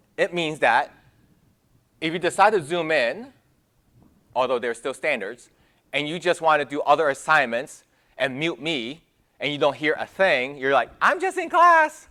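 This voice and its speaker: A man's fairly high, bright and sharp voice in an animated tone, with ordinary pitch variation, a moderate pace and long, frequent pauses, in a very clean recording with a silent background. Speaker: college math professor. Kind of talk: lecture. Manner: casual, animated.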